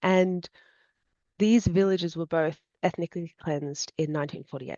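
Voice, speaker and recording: A woman speaks with an Australian accent. Her intonation is fairly even. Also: fairly low pitch for a woman, moderate pace. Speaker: student and embroidery artist. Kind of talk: interview.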